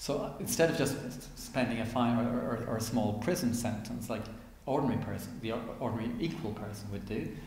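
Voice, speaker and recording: A man with an Irish accent at a fairly quick pace, medium pitch and ordinary pitch variation, with audible room echo and noticeable background noise. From Ireland. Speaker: author and activist. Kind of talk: interview. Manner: animated.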